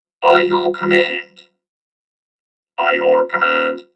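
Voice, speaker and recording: A robotic, put-on character voice at a very slow pace. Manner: flat, monotone.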